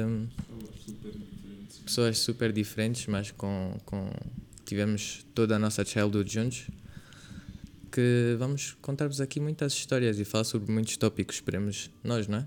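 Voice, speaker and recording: This man has a normal speaking voice at a medium pitch. He speaks at a fairly slow pace with fairly even intonation. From Angola, Lubango. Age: 20s. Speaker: podcast host, university student. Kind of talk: casual chat. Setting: video podcast.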